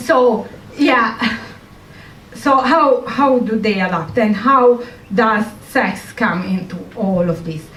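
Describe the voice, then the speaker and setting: A woman with an Italian accent speaks at a very slow pace with lively intonation and long, frequent pauses. Audible room echo and noticeable background noise are present. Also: fairly high pitch for a woman. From Italy. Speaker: comedian and scientist. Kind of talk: stand-up. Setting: stage with audience.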